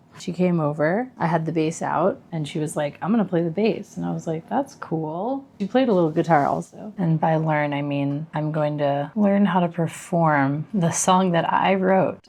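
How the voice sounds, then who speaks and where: A soft-spoken woman mumbles with hardly any pauses, her fairly low pitch moving with ordinary variation. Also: moderate pace. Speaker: musician vlogger. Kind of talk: casual vlog monologue. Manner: mumbling.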